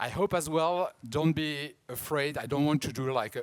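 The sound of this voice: This man speaks at a moderate pace. He has a strong French accent.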